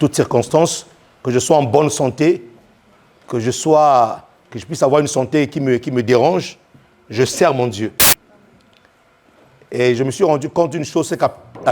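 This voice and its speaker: Over music in the background, a man speaks at a fairly quick pace. His pitch is fairly high with ordinary variation. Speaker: pastor. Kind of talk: sermon. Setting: church. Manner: repetitive, halting.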